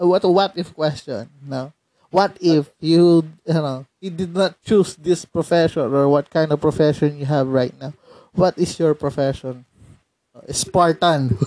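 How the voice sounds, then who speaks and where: A man with a Filipino accent speaks at a fairly slow pace in a dark, mellow tone. His pitch is fairly high, with ordinary pitch variation. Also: quiet background. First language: Tagalog. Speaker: podcast host. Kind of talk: casual interview. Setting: remote call.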